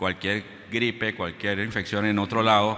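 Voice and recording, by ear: With a bright, sharp tone, a man speaks at a fairly low pitch and a fairly slow pace, his pitch moving little.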